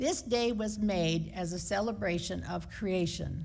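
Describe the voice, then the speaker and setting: Audible echo from the room surrounds the speaker. She is a woman with an American accent. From United States. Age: 70s. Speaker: lay preacher. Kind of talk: sermon. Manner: conversational.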